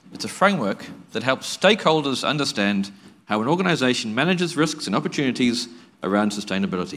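A man talks at a very fast pace. His pitch swings very wide. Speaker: lawyer, conference panel moderator; conference panelist. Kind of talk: conference presentation; panel discussion talk. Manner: halting, many fillers and repetitions. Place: hall. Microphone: lapel.

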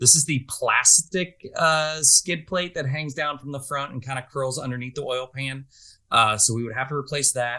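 This man talks at a moderate pace, pitched fairly high, with a bright, sharp tone. The background is quiet. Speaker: podcast co-host, overlanding vehicle enthusiast. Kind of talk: casual chat. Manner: animated. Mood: relaxed, joking. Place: home room.

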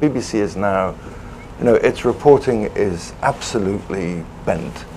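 A man talks with a Welsh accent over noticeable background noise. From Wales. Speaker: former foreign correspondent. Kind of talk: panel discussion.

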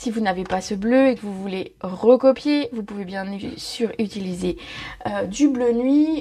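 The speaker is a woman at a fairly slow pace. Her pitch variation is ordinary. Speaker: craft product demonstrator. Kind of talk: tutorial.

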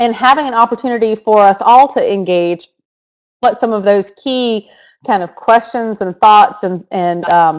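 A woman with a North Carolina accent speaks at a moderate pace and a fairly high pitch. Her pitch varies in an ordinary way, and the background is quiet. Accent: Southern, North Carolina. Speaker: education technology leader; webinar presenter. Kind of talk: webinar presentation. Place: home room. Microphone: webcam.

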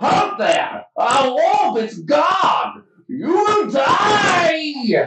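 Someone shouts in a put-on character voice at an extremely high pitch. The pace is very slow. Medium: actual play. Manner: shouting, menacing.

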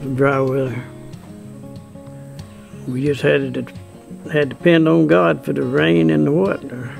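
Speaking with a Southern US accent, a man swings his pitch very widely. He moves at a fairly slow pace with long, frequent pauses while faint music plays in the background. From US South. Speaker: farmer. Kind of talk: interview answer. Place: farm.

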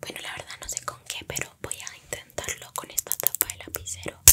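At a fairly quick pace, a woman talks. She is whispering. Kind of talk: ASMR role-play chat. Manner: soft close-mic ASMR voice. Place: home room. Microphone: studio mic.

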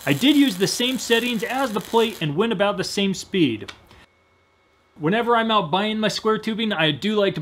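High-pitched male voice with a fairly bright tone and moderate pace

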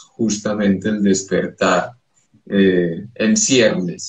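A man with fairly low pitch speaks at a very slow pace amid audible room echo. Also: quiet background. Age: 50s. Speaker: psychoanalyst and poet; psychoanalyst, poet. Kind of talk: interview. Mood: calm, spiritual explanation. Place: home room. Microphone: video call.

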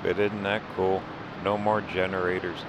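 A man speaks at a fairly slow pace. Background noise is noticeable. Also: dry sound with no echo. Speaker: RV travel vlogger. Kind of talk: casual vlog chat. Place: open country. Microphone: phone near.

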